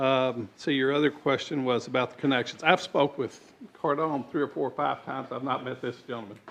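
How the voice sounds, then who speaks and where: A man with a medium pitch moves along at a fairly quick pace, keeping his intonation fairly even. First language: not English. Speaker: developer/applicant at planning meeting. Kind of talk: public hearing testimony.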